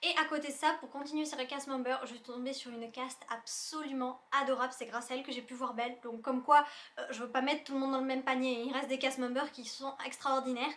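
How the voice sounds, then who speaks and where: Very fast and high-pitched, a woman speaks with big swings in loudness over noticeable background noise. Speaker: YouTuber. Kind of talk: casual vlog review. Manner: animated.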